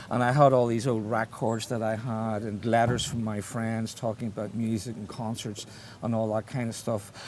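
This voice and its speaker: A man speaks with a Belfast accent at a medium pitch and a moderate pace. His intonation stays flat and monotone. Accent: Belfast Northern Irish. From Northern Ireland, Belfast. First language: Irish. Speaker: writer. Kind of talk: interview conversation. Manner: halting, many false starts.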